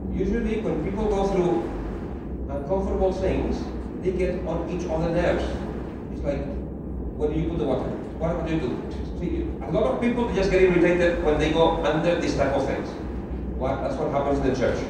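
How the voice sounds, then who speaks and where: Against loud background noise and audible room echo, a man talks at a fairly quick pace. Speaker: preacher. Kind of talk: sermon. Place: hall.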